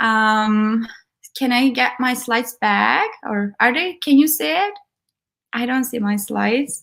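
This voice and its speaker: Speaking at a very slow pace with a Turkish accent, a woman uses a high pitch and lively intonation on a very clean recording with a silent background. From Turkey. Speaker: tech program manager and conference speaker. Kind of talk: conference talk.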